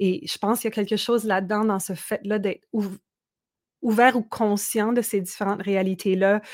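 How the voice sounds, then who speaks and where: On a very clean recording with a silent background, a woman with a fairly high pitch talks at a moderate pace in a monotone, flat intonation. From Manitoba, Canada (Franco-Manitoban Métis village). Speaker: singer-songwriter. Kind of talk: casual interview.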